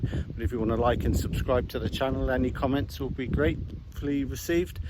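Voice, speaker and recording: Fairly quick speech with very wide pitch swings, over noticeable background noise. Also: man. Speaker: outdoor vlogger. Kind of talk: casual vlog narration. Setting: outdoors. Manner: quiet.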